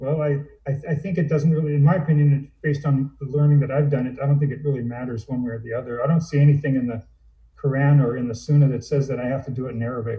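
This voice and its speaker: Somewhat breathy and fairly high in pitch, a man speaks at a very fast pace with fairly even intonation. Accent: American. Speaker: convert to Islam. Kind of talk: casual chat.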